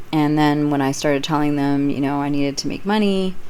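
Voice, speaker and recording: A woman with a very deep, low pitch speaks at a moderate pace with ordinary pitch variation. Audible room echo surrounds her voice. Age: 40s. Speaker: YouTuber telling personal stories. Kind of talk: casual storytelling monologue. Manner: unscripted, meandering.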